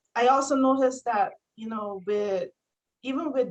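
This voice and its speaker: The speaker has a Barbadian accent. The pitch varies in an ordinary way. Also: woman. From Barbados. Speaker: homesteader and mother. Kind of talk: casual interview chat. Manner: halting, many fillers and repeats.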